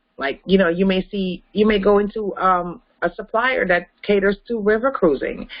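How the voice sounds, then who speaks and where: Speaking at a moderate pace with hardly any pauses, a woman keeps a medium pitch and ordinary pitch variation. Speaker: travel business trainer. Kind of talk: webinar Q&A with caller. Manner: animated.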